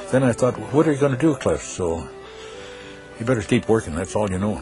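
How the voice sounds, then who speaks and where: Speaking with an American accent at a fairly quick pace, the voice has lively intonation, with music in the background. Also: man, medium pitch for a man. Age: 70s. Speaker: radio morning host. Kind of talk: interview. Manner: folksy.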